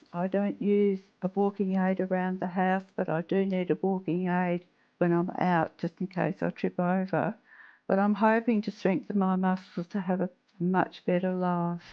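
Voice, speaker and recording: A woman's medium-pitched voice with an Australian accent, monotone and flat, at very even loudness and a moderate pace. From Western Australia. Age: 70s. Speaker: patient. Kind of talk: interview answer.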